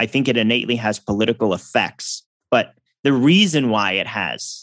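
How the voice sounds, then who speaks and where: Dry and close with no echo, a man talks at a moderate pace. He has an unremarkable speaking voice at a medium pitch. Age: 30s. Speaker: musician and electrical engineer. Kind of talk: interview conversation.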